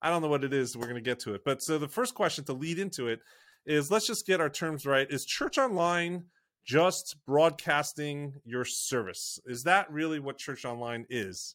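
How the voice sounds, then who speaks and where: A man with an American accent speaks at a moderate pace and a fairly high pitch, in a plain, everyday voice. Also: very clean recording, silent background. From United States. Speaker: podcast host, church online consultant. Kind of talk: casual interview chat.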